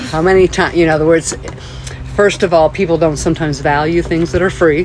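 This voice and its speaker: Over noticeable background noise, a woman talks very fast at a fairly low pitch, her intonation monotone and flat and her loudness very even. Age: 60s. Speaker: environmental educator. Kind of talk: interview.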